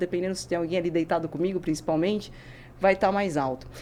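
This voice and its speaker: Fairly even intonation holds throughout. The voice belongs to a woman. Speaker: neuroscientist and physical educator. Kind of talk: podcast interview. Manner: fast.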